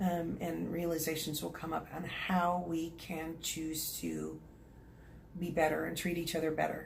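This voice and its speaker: A woman speaks with an Oklahoma accent at a moderate pace. There is audible room echo. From Oklahoma, US. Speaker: psychic medium and energy healer. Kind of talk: channeling session. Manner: hesitant, many fillers.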